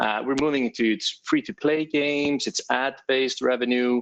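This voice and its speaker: Speaking at a moderate pace with fairly even intonation, a man talks in an Icelandic accent. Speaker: developer advocate. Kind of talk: tech talk presentation. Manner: many filler words and restarts.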